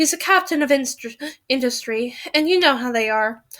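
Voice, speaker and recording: A woman performs a put-on character voice pitched high. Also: moderate pace. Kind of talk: period drama. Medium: read story. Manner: uncertain, airy.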